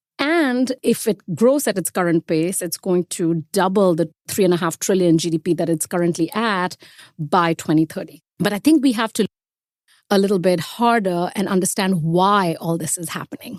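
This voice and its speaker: The voice moves at a moderate pace with ordinary pitch variation on a very clean recording with a silent background, the sound dry and close with no echo. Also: woman, medium pitch for a woman. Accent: Indian. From India. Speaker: investment strategist. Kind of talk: podcast interview.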